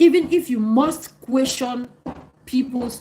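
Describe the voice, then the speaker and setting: Over noticeable background noise, a woman with a Cameroonian accent speaks at a fairly slow pace, her pitch swinging very widely. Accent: African accent, Cameroonian. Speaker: live streamer answering viewer comments. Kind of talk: live stream chat reading comments.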